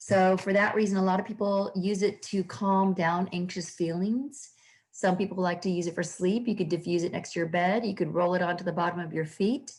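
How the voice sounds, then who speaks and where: A woman speaks at a fairly quick pace, her voice somewhat breathy. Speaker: holistic health practitioner. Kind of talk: recorded online class. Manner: fast.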